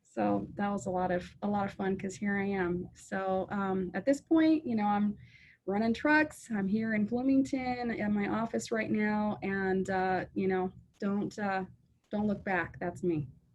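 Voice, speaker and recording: With an American accent, a woman speaks at a fairly slow pace, somewhat breathy and with lively intonation. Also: medium pitch for a woman. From US Pacific Northwest, Seattle. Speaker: trucking company owner. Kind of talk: interview. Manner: hesitant with many fillers.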